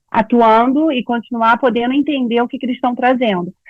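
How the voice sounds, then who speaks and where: A high female voice at a very fast pace. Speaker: psychologist and writer giving a talk. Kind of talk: online lecture to small audience.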